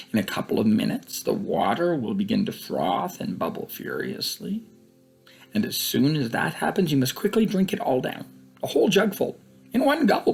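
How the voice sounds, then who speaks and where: A man's put-on character voice, whispering and creaky, at a moderate pace over faint background music. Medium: read story. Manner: whispery, coaxing, secretive.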